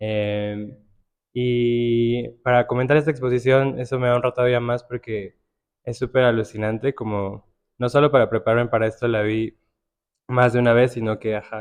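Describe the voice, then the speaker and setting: Soft-spoken, a man talks at a moderate pace in a medium pitch with a monotone, flat intonation. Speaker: curator and writer. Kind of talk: panel conversation. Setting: art gallery with live audience.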